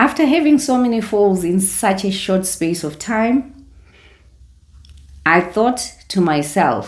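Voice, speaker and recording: Her pitch is medium and somewhat breathy, swinging very widely up and down. The woman speaks at a very slow pace. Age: 60s. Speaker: retiree lifestyle vlogger. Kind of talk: casual vlog talk to camera.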